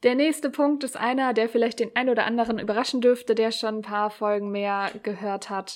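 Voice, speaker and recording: A woman's fairly even delivery in a very clean recording with a silent background. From Germany, Hamburg. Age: 30s. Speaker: podcast host, blogger. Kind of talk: solo podcast monologue.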